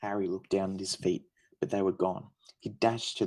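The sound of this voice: The speaker uses an unforced reading voice. Intonation stays fairly even over a quiet background.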